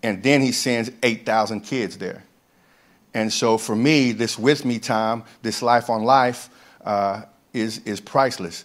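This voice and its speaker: In a very clean recording with a silent background, a man with a normal speaking voice talks at a medium pitch and a fairly slow pace, his intonation fairly even. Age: 50s. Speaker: camp ministry director. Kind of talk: testimony. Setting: church with congregation.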